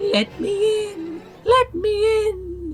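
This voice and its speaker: An extremely high-pitched, put-on character voice over clear background noise. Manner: spooky.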